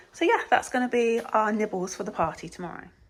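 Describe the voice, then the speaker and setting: Over noticeable background noise, a woman with an English accent talks at a very fast pace, medium in pitch with ordinary pitch variation. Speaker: family vlogger. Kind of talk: casual vlog talk to camera.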